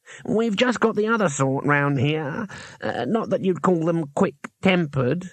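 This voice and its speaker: A man performs a put-on character voice. It sits high in pitch and moves at a moderate pace. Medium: read story.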